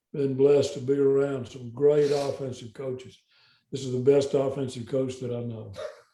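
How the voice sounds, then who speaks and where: A somewhat breathy man with a Southern US accent, monotone, flat intonation and a moderate pace. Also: medium pitch for a man. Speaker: football coach. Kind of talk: interview. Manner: halting.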